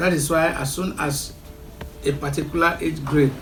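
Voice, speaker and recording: Music plays in the background as a man speaks. His pitch is fairly high and his intonation monotone and flat. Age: 70s. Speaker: traditional chief, royal family head. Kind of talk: interview answer.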